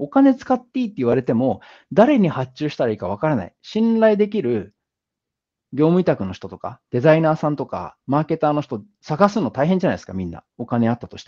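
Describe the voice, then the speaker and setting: Over a quiet background, a man with a fairly high voice and a dark, mellow tone talks at a fairly quick pace. His pitch swings very widely, and his loudness shifts a lot. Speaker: business founder and speaker; speaker. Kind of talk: lecture. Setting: online video call with screen share. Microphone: video call.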